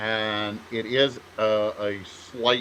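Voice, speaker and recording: With noticeable background noise around him, a man speaks at a fairly low pitch. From Canada, Ontario. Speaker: author, podcast co-host. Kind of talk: casual chat. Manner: halting, many false starts.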